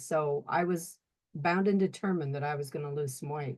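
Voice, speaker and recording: Against a quiet background, a woman with an unremarkable speaking voice talks. She keeps a moderate pace with ordinary pitch variation. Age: 60s. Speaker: testimonial guest. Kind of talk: testimony.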